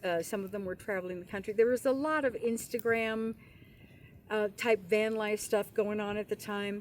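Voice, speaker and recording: Moderate pace and fairly high pitch in an unremarkable speaking voice from a woman. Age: 60s. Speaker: retired van dweller. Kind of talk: casual chat.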